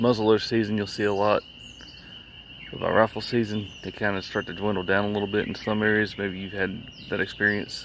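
A man with monotone, flat intonation at a fairly quick pace, dry sound with no echo and light background noise. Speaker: vlogger. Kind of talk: casual vlog chat, storytelling. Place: street. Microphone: phone near.

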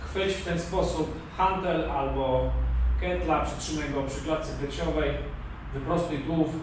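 Strong room echo and noticeable background noise accompany a man speaking at a moderate pace. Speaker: fitness trainer. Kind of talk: tutorial. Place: home room. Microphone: camera far.

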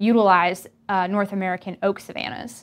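In an ordinary speaking voice, a woman talks at a moderate pace against a quiet background. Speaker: research professor. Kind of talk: scripted narration.

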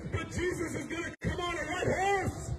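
A man talking at a fairly quick pace over loud background noise. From American. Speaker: street preacher. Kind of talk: street preaching sermon. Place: street.

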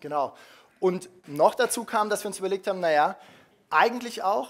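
A man with a high pitch, lively intonation and a fairly quick pace. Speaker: startup founder; speaker. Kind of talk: conference talk. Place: hall.

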